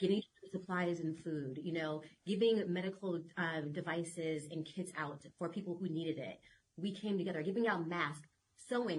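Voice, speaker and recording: A woman in an American accent, with a normal speaking voice, fairly low pitch, ordinary pitch variation and a moderate pace. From California. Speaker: children's book author. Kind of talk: podcast interview.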